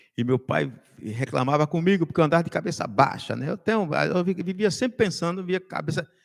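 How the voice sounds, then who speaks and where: A man's high-pitched voice, lively intonation, fairly quick pace. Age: 60s. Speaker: political commentator. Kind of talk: casual chat.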